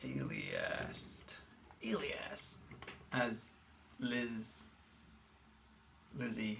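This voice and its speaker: Speech comes very slowly and mumbled, with long, frequent pauses. Noticeable background noise and audible room echo fill the recording. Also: man. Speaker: programmer. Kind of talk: live-coding stream. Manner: mumbling; halting.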